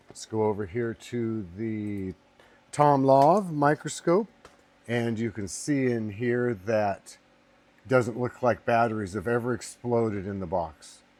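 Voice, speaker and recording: A man at medium pitch, speaking at a very slow pace with ordinary pitch variation. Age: 60s. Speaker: online seller demonstrating item. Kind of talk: product demonstration. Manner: casual, with filler words.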